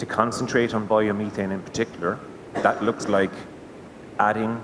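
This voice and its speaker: Against noticeable background noise, a man with a Cork accent talks at a moderate pace, his pitch fairly low and his intonation fairly even. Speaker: gas network sales manager. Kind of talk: conference presentation.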